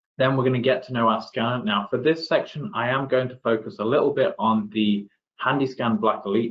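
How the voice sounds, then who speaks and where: Pitched at a medium level, a man talks at a fairly quick pace with an English accent. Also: ordinary pitch variation. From England, Derby (East Midlands). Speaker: application engineer. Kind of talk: webinar presentation.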